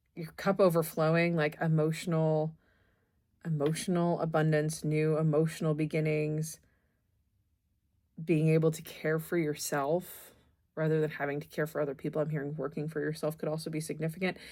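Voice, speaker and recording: On a very clean recording with a silent background, a woman with a very deep, low pitch and a dark, mellow tone speaks at a moderate pace in a monotone, flat way. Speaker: tarot reader. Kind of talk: tarot reading.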